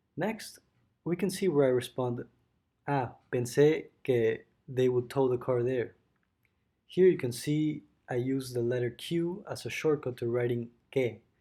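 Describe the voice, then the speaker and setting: Over a silent background on a very clean recording, a man with a Spanish accent speaks fairly slowly at a medium pitch, his tone dark and mellow, his pitch variation ordinary and his pauses long and frequent. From Mexico City, Mexico. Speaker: student. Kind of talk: school presentation. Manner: halting.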